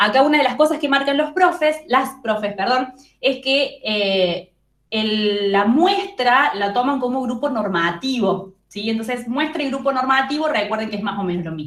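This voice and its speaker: Speaking fairly slowly, a woman's high voice moves through very wide pitch swings. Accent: strong Córdoba Argentine. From Argentina, Córdoba. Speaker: psychology tutor. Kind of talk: study group review session.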